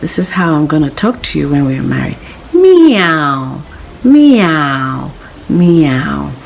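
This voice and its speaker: In a put-on character voice at middle pitch, the speaker talks at a very slow pace over clear background noise. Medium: read story.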